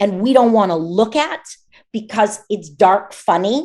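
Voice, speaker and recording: With an American accent and a normal speaking voice, a woman speaks at a fairly slow pace, her fairly high pitch moving in lively intonation. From United States. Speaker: voice actor. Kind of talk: interview answer.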